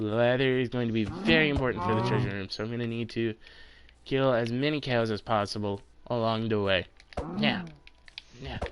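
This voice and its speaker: A man at a medium pitch talks at a fairly quick pace but with long, frequent pauses, using ordinary pitch variation over noticeable background noise. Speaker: gaming streamer. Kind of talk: live gameplay commentary.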